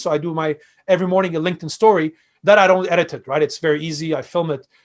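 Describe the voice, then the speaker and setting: A man's high-pitched voice in a Quebec accent. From Quebec, Canada (Montreal, Armenian family). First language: Armenian (also French). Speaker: fintech and crypto expert. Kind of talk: interview conversation. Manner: hesitant, many fillers.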